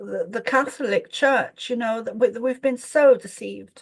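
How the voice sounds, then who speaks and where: A woman speaks with an English accent at a moderate pace. Her pitch is high. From Ireland. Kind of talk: spiritual group discussion. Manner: halting.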